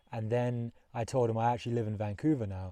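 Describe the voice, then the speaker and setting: Against a quiet background, a man with a London accent talks at a fairly quick pace in a relaxed, dark, mellow tone, with medium pitch and fairly even intonation. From London, England. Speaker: long-distance hiker vlogger. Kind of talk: casual vlog narration. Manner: relaxed, with many fillers.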